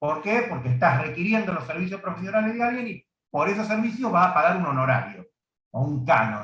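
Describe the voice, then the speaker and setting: A man with a high voice talks at a fairly quick pace, his pitch swinging very widely. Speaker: law teacher. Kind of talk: lecture. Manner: fast.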